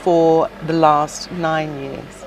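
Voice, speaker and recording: A woman with a fairly low voice speaks over noticeable background noise. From South Pacific Islands. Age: 60s. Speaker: shop owner. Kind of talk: interview.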